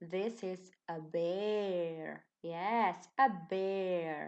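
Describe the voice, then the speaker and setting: The pitch is medium. The speaker is a woman. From Slovenia, Ilirska Bistrica. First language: Slovenian. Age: 20s. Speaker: primary school teacher. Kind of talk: online lesson for children. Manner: slow, clear and encouraging.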